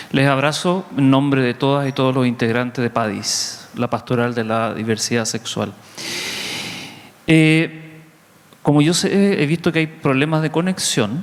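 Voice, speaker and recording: Noticeable background noise sits behind a man with a Chilean accent. He speaks at a fairly high pitch and a fairly slow pace. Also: ordinary pitch variation. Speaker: Jesuit priest. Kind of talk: conference talk.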